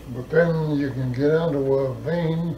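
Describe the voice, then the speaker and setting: A man with a Canadian prairie accent and a fairly high pitch, over noticeable background noise. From Manitoba, Canada. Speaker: farmer. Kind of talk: oral history interview. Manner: casual, storytelling.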